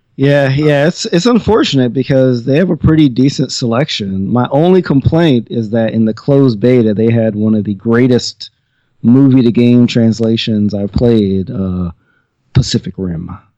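A man's voice of medium pitch carries a dark, mellow tone. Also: lively intonation, moderate pace. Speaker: podcast guest. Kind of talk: casual chat.

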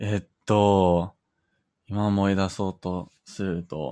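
A man speaks at a very deep, low pitch with ordinary pitch variation. The recording is very clean, with a silent background. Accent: English. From Canada. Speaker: Japanese learner. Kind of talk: casual chat. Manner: halting.

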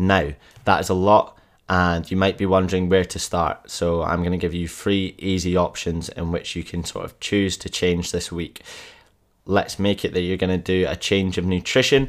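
Flat, monotone intonation runs through speech delivered at a moderate tempo. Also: man, very deep, low pitch for a man. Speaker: fitness coach podcaster. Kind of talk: solo podcast monologue with pep talk. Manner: passionate, urgent, motivational; direct, emphatic, hard-truth delivery.

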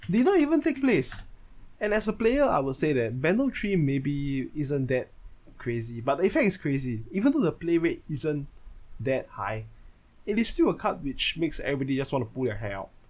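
Somewhat breathy and fairly high in pitch, a man talks at a fairly quick pace with very wide pitch swings. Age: 20s. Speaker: podcaster and card game player. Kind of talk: solo monologue. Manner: casual, self-correcting.

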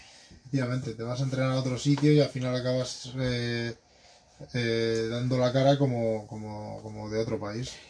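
A man speaks at a medium pitch and moderate pace in a monotone, flat intonation. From Spain, Madrid. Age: 20s. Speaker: BMX rider. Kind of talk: interview.

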